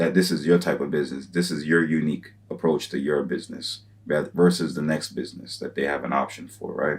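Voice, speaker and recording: Here a man speaks with a very deep, low pitch and vocal fry. He moves at a fairly quick pace. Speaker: YouTuber giving business advice. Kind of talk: solo tutorial monologue. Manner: fast; casual with many fillers.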